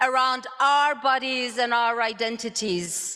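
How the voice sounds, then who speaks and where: A woman raises and projects her high, bright, sharp voice. She speaks very slowly with ordinary pitch variation. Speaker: conference moderator. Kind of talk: conference speech.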